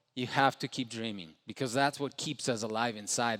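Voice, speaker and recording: A man with a Spanish accent is heard on a very clean recording with a silent background. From Ecuador. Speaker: entrepreneur. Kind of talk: motivational speech. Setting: stage with audience.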